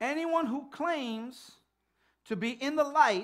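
A man's bright, sharp voice with lively intonation against a quiet background. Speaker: pastor. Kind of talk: sermon. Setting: church. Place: church.

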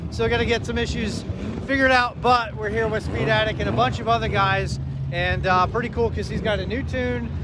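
A man talks at a fairly quick pace. Loud background noise is present, though the sound is dry with no echo. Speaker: car vlogger. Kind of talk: casual vlog chat. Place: street. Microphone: phone near.

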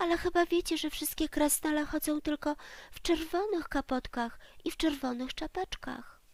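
Using a put-on character voice, a woman speaks at a moderate pace. Her pitch is high and squeaky. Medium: read story. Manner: shivering, squeaky.

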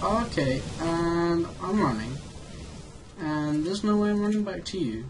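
There is noticeable background noise as a man speaks at a fairly slow pace. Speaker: gaming YouTuber. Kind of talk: gameplay commentary. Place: home room. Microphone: headset.

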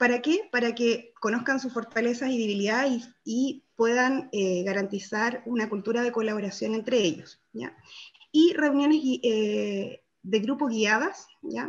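A woman is talking at a fairly high pitch. Her intonation varies in an ordinary way. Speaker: workshop participant presenting group results. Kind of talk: group presentation in online workshop. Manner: fast; hesitant, many fillers. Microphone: video call.

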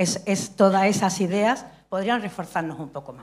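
This woman speaks with ordinary pitch variation. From Andalusia. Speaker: stage director and playwright; speaker. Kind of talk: audience contribution in forum. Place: stage.

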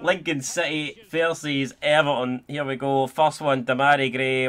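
A man speaks with a Scottish accent in a monotone, flat intonation. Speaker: gaming YouTuber. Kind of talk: gameplay commentary, live football play-by-play during penalty shootout. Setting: home recording, playing FIFA. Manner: casual, chatty, swearing.

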